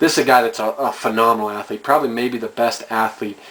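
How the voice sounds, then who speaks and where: Over noticeable background noise, a man at medium pitch talks at a very fast pace in a monotone, flat intonation. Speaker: fan video commentator. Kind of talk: casual monologue.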